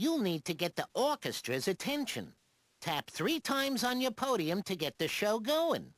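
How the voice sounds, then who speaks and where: On a very clean recording with a silent background, a put-on character voice with fairly high pitch swings very widely at a moderate pace. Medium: video game. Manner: breezy, wisecracking.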